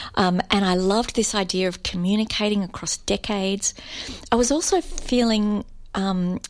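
A woman speaks at a moderate pace in an ordinary speaking voice, her pitch medium for a woman with ordinary variation. The recording is very clean, with a silent background. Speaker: novelist. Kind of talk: author interview.

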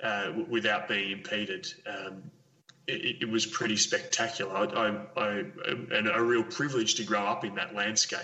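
A man with an Australian accent, high-pitched, at a moderate pace with very wide pitch swings over noticeable background noise. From Victoria, Australia. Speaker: conservation ecologist. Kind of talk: interview. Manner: halting, many fillers.

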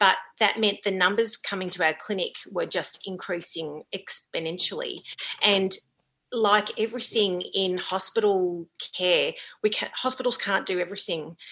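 A woman with an Australian accent, a bright, sharp tone, medium pitch, fairly even intonation and a moderate pace. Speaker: GP. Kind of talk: interview.

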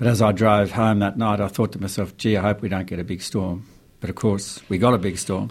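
In a very clean recording with a silent background, a man speaks at a fairly quick pace with a fairly low pitch and a monotone, flat intonation. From Australia, rural New South Wales near the Snowy Mountains. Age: 60s. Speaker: farmer and author. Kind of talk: radio interview. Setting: radio studio.

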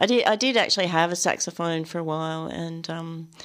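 A woman with an Australian accent and a fairly low pitch speaks with ordinary pitch variation on a very clean recording with a silent background. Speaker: novelist and poet. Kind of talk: radio interview.

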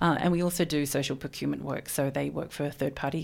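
Someone with an Australian accent speaks at a fairly quick pace on a very clean recording with a silent background. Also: woman. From Melbourne, Australia. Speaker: magazine editor. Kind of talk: radio interview. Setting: radio studio.

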